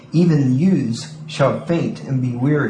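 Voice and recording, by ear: Natural-voiced reading aloud with ordinary shifts in pitch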